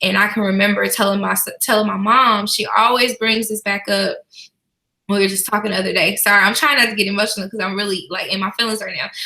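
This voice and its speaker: A woman speaks at a very fast pace with medium pitch and a bright, sharp tone. Her intonation is fairly even, with vocal fry. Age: 30s. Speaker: small business owner. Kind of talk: casual chat.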